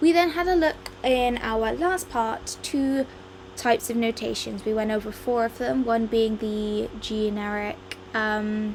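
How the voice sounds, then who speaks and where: A woman speaks with an English accent and lively intonation. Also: fairly high pitch for a woman, fairly slow pace. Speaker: music teacher. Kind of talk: lecture. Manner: hesitant, many ums.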